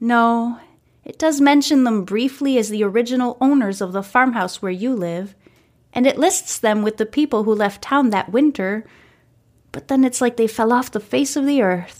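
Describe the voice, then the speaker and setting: Over a silent background in a very clean recording, a woman with an unremarkable speaking voice speaks at a moderate pace with fairly high pitch and lively intonation. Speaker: podcast host and narrator. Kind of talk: audiobook-style fiction reading aloud. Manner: gentle, cozy storytelling pace.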